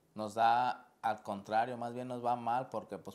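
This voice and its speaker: Here a man talks at a medium pitch. His pace is fairly slow. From Mexico, Guadalajara, Jalisco. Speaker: professional indoor soccer player; guest or host on sports show. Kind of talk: interview. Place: studio. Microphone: lapel.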